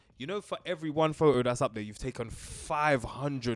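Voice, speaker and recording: Speaking at a moderate pace with a London accent, a man uses an animated tone, medium pitch and ordinary pitch variation. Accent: London multicultural English. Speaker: podcast co-host. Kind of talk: casual chat.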